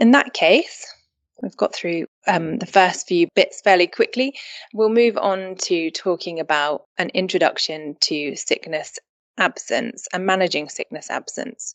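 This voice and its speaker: Lively intonation marks this woman's speech in a British accent. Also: medium pitch for a woman, fairly slow pace. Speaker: employment solicitor and podcast host. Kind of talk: podcast intro; webinar presentation.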